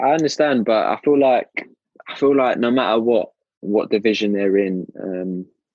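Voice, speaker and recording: Speaking with a southern English accent, a man uses a medium pitch, ordinary pitch variation and a moderate pace. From southern England (Brighton). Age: 20s. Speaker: professional footballer. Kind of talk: interview. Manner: hesitant, many fillers.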